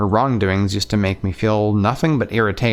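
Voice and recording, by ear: Fairly even intonation while reading aloud in a natural voice.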